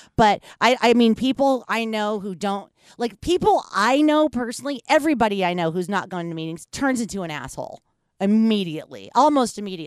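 In a very clean recording with a silent background, a woman with an American accent speaks at a fairly high pitch with very wide pitch swings. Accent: half Yankee, slight Southern. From US South. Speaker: podcast host. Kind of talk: casual chat. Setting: studio.

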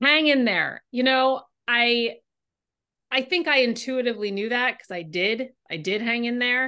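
A woman talks at a moderate pace in a high pitch, with ordinary pitch variation. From California. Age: 40s. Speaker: novelist. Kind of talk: interview.

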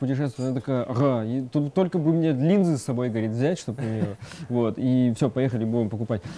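A man at medium pitch with ordinary pitch variation, at a very fast pace. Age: 20s. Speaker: Instagram blogger. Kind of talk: casual chat. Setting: cafe.

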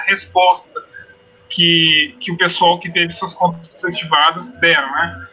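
Over noticeable background noise, a man speaks at a fairly slow pace in a high pitch. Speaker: law researcher. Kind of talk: casual discussion. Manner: halting.

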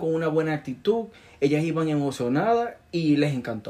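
A man's high-pitched yet dark, mellow voice at a moderate pace, with ordinary pitch variation. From Venezuela. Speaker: physician and entrepreneur. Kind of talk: interview. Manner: halting, many fillers.

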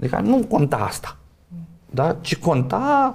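A man talks at a fairly slow pace in an ordinary speaking voice. His pitch varies in an ordinary way. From Romania. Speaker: sociologist and professor. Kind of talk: casual interview.

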